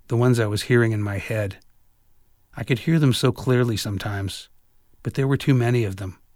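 A man with an American accent speaks at a fairly quick pace and a medium pitch, his animated tone showing ordinary pitch variation between long, frequent pauses. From San Francisco, US. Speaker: audiobook author and narrator, jazz guitarist. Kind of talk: literary audiobook reading, first-person memoir narration. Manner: wry, sardonic storyteller, conversational and animated.

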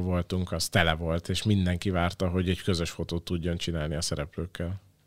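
Very deep, low male voice at a moderate pace, dry and close with no echo, on a very clean recording with a silent background. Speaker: current creative producer of a talent show. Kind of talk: interview answers.

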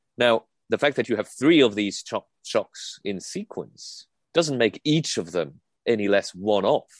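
Against a quiet background, with a dry, close sound and no echo, a man speaks at medium pitch and a fairly slow pace with lively intonation, an ordinary speaking voice. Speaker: economics commentator. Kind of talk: interview.

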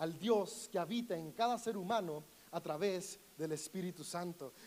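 This man's voice swings very widely in pitch. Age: 30s. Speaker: pastor. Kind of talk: sermon.

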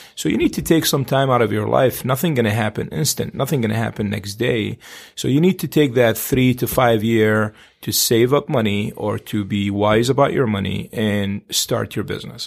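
In a very clean recording with a silent background, a man of medium pitch speaks at a moderate pace with ordinary pitch variation and vocal fry. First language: not English. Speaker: real estate agent. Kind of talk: casual chat.

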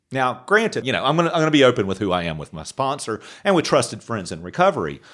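A man with an American accent and vocal fry swings his pitch very widely on a very clean recording with a silent background. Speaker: podcast co-host in recovery. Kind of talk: casual chat.

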